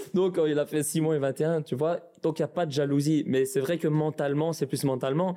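Fairly high male voice at a moderate pace, fairly even intonation, and noticeable background noise. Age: 20s. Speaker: professional footballer. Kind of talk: interview. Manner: halting.

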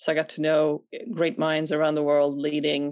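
At a moderate pace, a woman with a very deep, low pitch speaks in a Swedish accent. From Sweden. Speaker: venture capital investor. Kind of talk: interview.

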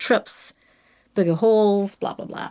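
Speech comes at a fairly quick pace in a southern New Zealand accent on a very clean recording with a silent background. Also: woman. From New Zealand, Invercargill. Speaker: advertising creative director. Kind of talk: interview.

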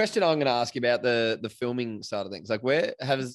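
Speaking at a fairly quick pace with ordinary pitch variation, this voice comes with an Australian accent. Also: man. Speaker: podcast host. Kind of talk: casual chat.

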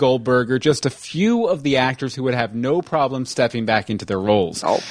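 A man with an American accent talks at a fairly quick pace. His pitch swings very widely. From Texas. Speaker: podcast host. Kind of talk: casual chat. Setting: live online stream.

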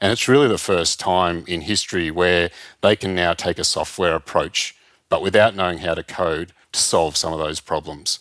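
Speaking at a moderate pace with an Australian accent, a man has a very deep, low voice and ordinary pitch variation, recorded very cleanly against a silent background with a dry, close sound and no echo. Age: 50s. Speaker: travel industry consultant. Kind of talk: interview. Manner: halting.

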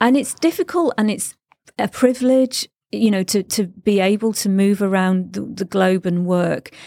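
A woman with a Mancunian accent and a dark, mellow tone speaks at a medium pitch and moderate pace with ordinary pitch variation, in a dry, close sound with no echo. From northern England (Stretford, Manchester). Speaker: podcast host, expat. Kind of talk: interview. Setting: studio.

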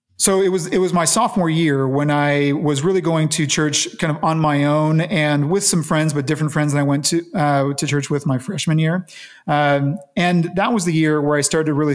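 In an American accent, a man with a plain, everyday voice talks at a moderate pace, fairly high in pitch, with ordinary pitch variation and very even loudness. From Las Vegas, Nevada, US. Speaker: businessman and church leader. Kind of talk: interview.

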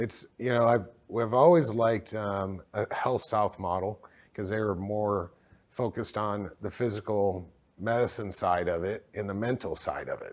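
A man's ordinary speaking voice, fairly low in pitch with ordinary pitch variation, at a moderate pace over a very clean recording and silent background. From Texas, moved from Michigan as a child. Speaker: healthcare company co-founder. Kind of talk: interview.

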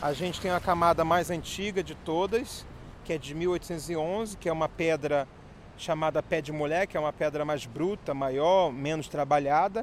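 Speaking at a moderate pace, a man uses a plain, everyday voice that sits fairly high in pitch, with fairly even intonation. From Rio de Janeiro, Brazil. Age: 30s. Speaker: local tour guide. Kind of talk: guided walking tour. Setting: outdoors.

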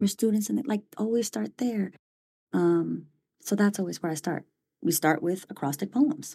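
A woman with an American accent speaks at medium pitch and a moderate pace, somewhat breathy, in a dark, mellow tone. Her intonation is lively on a very clean recording with a silent background. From US West Coast, San Francisco Bay Area. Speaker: education professor. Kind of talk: podcast interview. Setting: studio.

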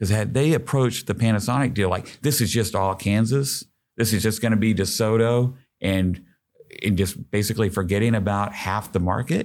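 A man with an American accent at fairly low pitch, ordinary pitch variation and very even loudness, moderate in pace, in a very clean recording with a silent background. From Oklahoma. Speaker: economic development executive. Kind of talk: casual interview. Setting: studio. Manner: animated.

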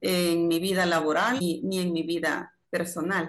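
A woman talks at a fairly slow pace in an ordinary speaking voice. Her pitch sits at a medium level. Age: 50s. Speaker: laboratory administrator. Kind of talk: interview.

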